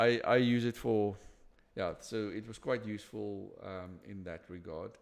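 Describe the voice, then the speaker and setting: Speaking at a fairly slow pace with a non-native accent, a man is heard in a very clean recording with a silent background. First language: not English. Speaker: interview host. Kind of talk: casual interview conversation. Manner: halting, many repetitions and restarts.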